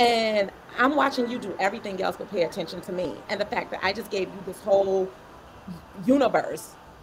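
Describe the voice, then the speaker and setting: Speaking fairly quickly in an unremarkable speaking voice, a woman at medium pitch shows ordinary pitch variation and big swings in loudness. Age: 40s. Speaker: panelist, doctoral student and coach. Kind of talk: casual panel discussion. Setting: online livestream.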